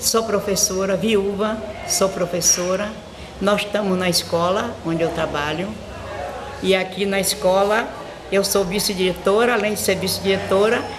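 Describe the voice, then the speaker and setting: A woman speaks at a moderate pace in a medium pitch, with monotone, flat intonation, very even loudness and long, frequent pauses. Noticeable background noise and audible room echo sit behind her. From Brazil, Bahia (Morro de São Paulo). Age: 80s+. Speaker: schoolteacher and local historian. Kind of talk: interview, oral history.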